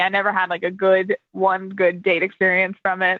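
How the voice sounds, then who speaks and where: A woman speaks at a fairly slow pace. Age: 20s. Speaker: podcast guest. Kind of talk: casual chat.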